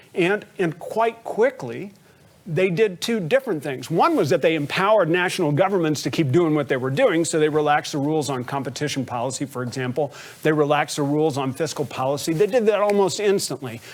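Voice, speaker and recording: A man talks fairly quickly, his intonation lively. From Texas. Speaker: think tank director on a panel. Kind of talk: panel discussion. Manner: conversational, many repeated 'and'.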